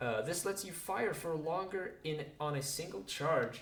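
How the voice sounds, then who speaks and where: In a non-native accent, a man talks at a fairly slow pace amid audible room echo. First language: not English. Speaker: gaming youtuber. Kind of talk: reading game dialogue aloud. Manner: halting; casual.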